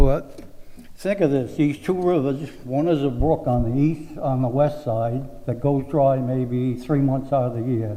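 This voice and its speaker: A man's dark, mellow voice, fairly high-pitched and fairly slow, with fairly even intonation and audible room echo. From Rhode Island, South Kingstown. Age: 80s+. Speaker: resident giving public comment. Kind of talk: public comment at town meeting. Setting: town planning board meeting.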